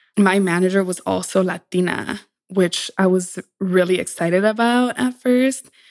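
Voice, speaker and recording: On a very clean recording with a silent background, a woman with an American accent speaks at a medium pitch and a moderate pace, with ordinary pitch variation. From Texas border town. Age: 20s. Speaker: podcast creator and corporate professional. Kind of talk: casual interview chat. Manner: animated, laughs often.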